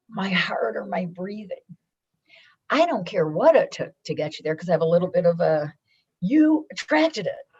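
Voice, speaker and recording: A woman speaks loudly at medium pitch and a moderate pace, with an animated tone, very wide pitch swings, and long, frequent pauses. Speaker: businesswoman and foundation founder. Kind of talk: podcast interview.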